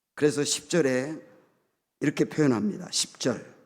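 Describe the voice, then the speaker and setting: A man's fairly high voice at a very slow pace, with ordinary pitch variation, on a very clean recording against a silent background. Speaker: guest pastor. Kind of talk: sermon.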